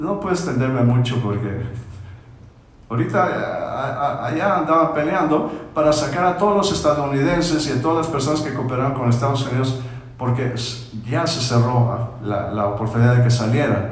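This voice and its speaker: A man with a Mexican accent speaks at a moderate pace in a medium pitch with ordinary pitch variation. Noticeable background noise and audible room echo fill the recording. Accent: Mexican accent when speaking English. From Mexico. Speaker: pastor. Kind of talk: Bible study teaching. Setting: church, livestreamed. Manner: halting, frequent repetitions.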